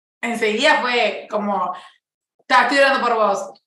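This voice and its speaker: A woman speaks at a very slow pace in a high pitch with a bright, sharp tone. The recording has audible room echo. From Uruguay. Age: 20s. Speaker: interview guest. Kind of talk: casual chat.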